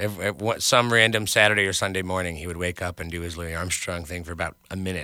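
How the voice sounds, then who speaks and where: A man's very deep, low, bright and sharp voice in an American accent, very fast with fairly even intonation, on a very clean recording with a silent background. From New York, Westchester suburbs. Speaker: singer-songwriter and bass player. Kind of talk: interview.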